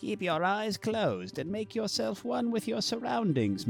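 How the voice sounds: Over clear background music, a man performs a put-on character voice that is high-pitched and shaky, with very wide pitch swings. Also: moderate pace.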